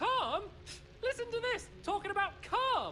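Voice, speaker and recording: In a put-on character voice, the speaker squeaks at an extremely high pitch, talking at a moderate pace over clear background noise. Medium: video game. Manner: polite, formal.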